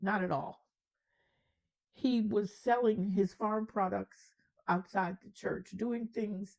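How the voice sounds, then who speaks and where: A dark, mellow tone at a very slow pace. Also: woman. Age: 80s+. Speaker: storyteller. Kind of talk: storytelling.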